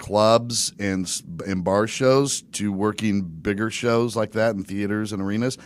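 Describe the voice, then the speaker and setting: An unremarkable speaking voice from a man, fairly low in pitch with ordinary pitch variation, at a moderate pace, on a very clean recording with a silent background. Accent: American. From US, Virginia Beach. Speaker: stand-up comedian and podcaster, former state trooper. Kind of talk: casual podcast interview.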